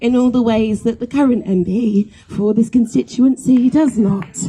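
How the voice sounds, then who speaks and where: The voice has a dark, mellow tone and is somewhat breathy. Its pitch varies in an ordinary way. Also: woman. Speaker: spoken word poet. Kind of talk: casual introduction to live audience. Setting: outdoors, live event.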